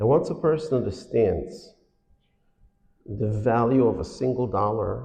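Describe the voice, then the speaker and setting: A man's dark, mellow, medium-pitched voice with vocal fry, at a fairly slow pace with long, frequent pauses and ordinary pitch variation, in audible room echo. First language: Yiddish. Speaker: financial awareness speaker. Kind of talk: lecture. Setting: synagogue hall with audience.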